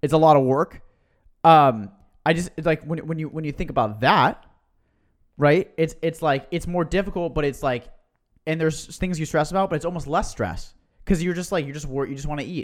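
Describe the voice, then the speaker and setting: A man's fairly high, animated voice, fairly quick pace broken by long, frequent pauses, ordinary pitch variation. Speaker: podcast host. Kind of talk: casual chat.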